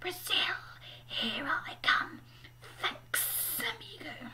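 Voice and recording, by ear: Whispering and hissing in a put-on character voice, the speaker goes at a very slow pace.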